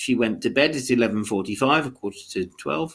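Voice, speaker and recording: Using vocal fry, a man talks at a fairly quick pace. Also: very clean recording, silent background. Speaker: ESOL teacher. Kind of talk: recorded lesson.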